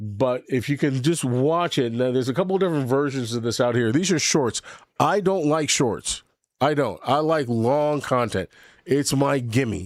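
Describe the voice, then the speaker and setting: In an ordinary speaking voice, a man talks at a moderate pace with an American accent. His medium pitch shows ordinary variation, and his loudness stays very even. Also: very clean recording, silent background. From New York. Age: 60s. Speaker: livestream host. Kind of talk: casual live stream chat. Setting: home studio. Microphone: new microphone.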